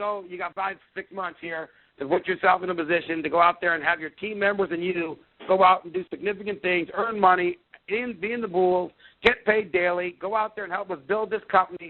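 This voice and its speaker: Animated and fairly quick, a man speaks in a high pitch. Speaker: sales executive on company call. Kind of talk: conference call presentation. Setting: phone conference call. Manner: fast.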